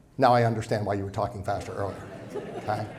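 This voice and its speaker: A somewhat breathy voice belongs to this man. He keeps his intonation fairly even. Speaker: financial advisor. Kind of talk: seminar presentation. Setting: event room with live audience. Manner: fast.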